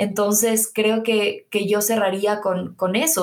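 A woman with a plain, everyday voice and fairly high pitch talks at a fairly slow pace. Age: 20s. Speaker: podcast host. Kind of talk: casual interview.

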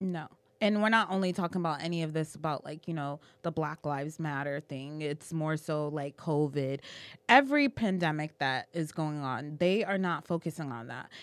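The very clean recording, with a silent background, carries an American accent. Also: woman, very deep, low pitch for a woman, ordinary pitch variation, moderate pace. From Boston. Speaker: podcast co-host. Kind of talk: casual chat. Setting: livestream.

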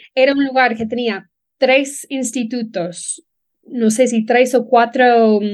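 At a very slow pace, a woman with an English accent speaks in a high pitch with fairly even intonation. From Ireland, Dublin. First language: English (speaking Spanish). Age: 30s. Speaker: relocation business founder. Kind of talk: interview.

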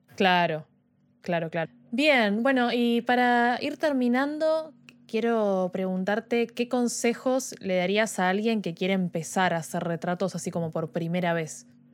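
In a very clean recording with a silent background, a woman with an unremarkable speaking voice uses medium pitch and lively intonation. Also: fairly slow pace. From Argentina, Buenos Aires. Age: 20s. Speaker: podcast host and photographer. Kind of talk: casual chat. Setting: live stream.

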